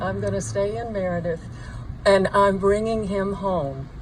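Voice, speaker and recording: Through noticeable background noise and audible room echo, a woman speaks at a moderate pace. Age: 70s. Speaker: bereaved mother. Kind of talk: memorial speech. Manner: halting.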